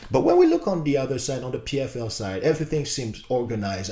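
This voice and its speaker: With a non-native accent, a man speaks at a medium pitch and moderate pace, his somewhat breathy voice animated and full of very wide pitch swings. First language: not English. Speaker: YouTube commentator. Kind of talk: casual commentary video. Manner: halting, many fillers.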